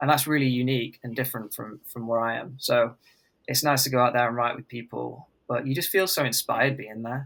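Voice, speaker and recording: The voice has a bright, sharp tone and an English accent, moving at a fairly quick pace with fairly even intonation. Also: man. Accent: English accent when speaking. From England. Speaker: country singer-songwriter. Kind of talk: casual interview chat.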